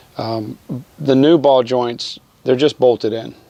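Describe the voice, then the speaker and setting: A fairly slow pace, with noticeable background noise. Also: man. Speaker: DIY auto repair video maker. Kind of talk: tutorial. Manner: casual, many fillers.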